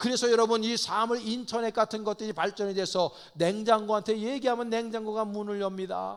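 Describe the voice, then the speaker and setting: This is a man speaking. His pitch is high. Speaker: pastor. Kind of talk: sermon.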